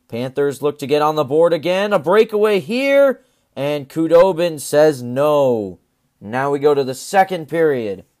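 A man speaks at a fairly slow pace in an ordinary speaking voice, fairly high in pitch with lively intonation. The recording is very clean, with a silent background. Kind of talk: live sports commentary, play-by-play over game highlights; sports podcast recap.

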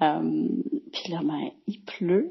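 A woman speaks at medium pitch in a Quebec accent. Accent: Québécois French. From Quebec, Boucherville. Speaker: travelling mother leaving a listener message. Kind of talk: voicemail message.

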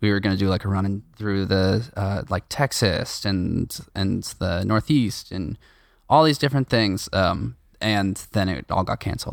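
With a plain, everyday voice, a man speaks at a fairly slow pace in a fairly low pitch with ordinary pitch variation. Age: 20s. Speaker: drummer and music school owner. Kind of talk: casual chat. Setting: video call.

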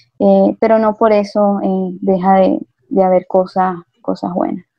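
This woman has a plain, everyday voice at a medium pitch, with fairly even intonation. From Venezuela. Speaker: migrant teacher. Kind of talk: interview.

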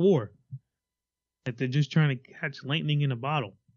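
A man speaks at a fairly quick pace in an unremarkable speaking voice, with a medium pitch and fairly even intonation. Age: 30s. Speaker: podcast co-host. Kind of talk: casual chat.

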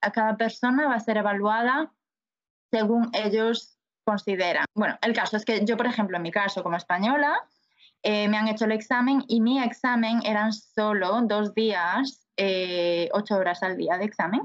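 Speaking in a plain, everyday voice, a woman keeps a moderate pace with ordinary pitch variation and very even loudness. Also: fairly high pitch for a woman. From Spain, Galicia (A Coruña). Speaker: nurse. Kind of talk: interview.

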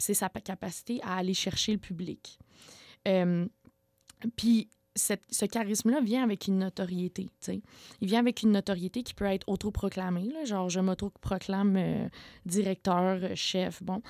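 Dry and close with no echo, on a very clean recording with a silent background, a woman at medium pitch talks fairly slowly with fairly even intonation and long, frequent pauses. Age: 20s. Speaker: community organizer, former sect member. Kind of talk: radio interview.

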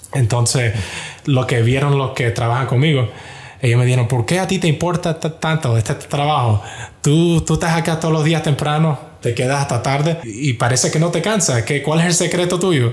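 Amid noticeable background noise, a man with a fairly high pitch talks at a moderate pace, keeping very even loudness and ordinary pitch variation. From US, Miami. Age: 20s. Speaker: software engineer at a big tech company. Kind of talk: testimony.

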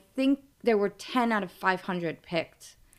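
This woman has a medium pitch and a New York accent. Her pace is moderate. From New York, Brooklyn. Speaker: TV promo creative director. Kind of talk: interview.

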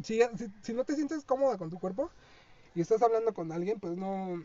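The speech moves at a fairly quick pace, with noticeable background noise behind it. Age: 20s. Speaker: podcast co-host, university student. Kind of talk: casual chat. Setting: studio.

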